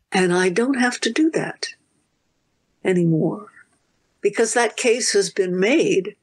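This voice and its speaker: Over a quiet background, a woman talks at a very slow pace with lively intonation. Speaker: professor. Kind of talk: interview. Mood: thoughtful, warm. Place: home room. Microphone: video call.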